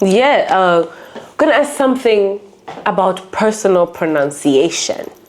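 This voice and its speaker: Over noticeable background noise, a woman with a non-native accent speaks at a fairly slow pace, her pitch swinging very widely. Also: medium pitch for a woman. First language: not English. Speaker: podcast co-host. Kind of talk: casual chat. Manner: animated.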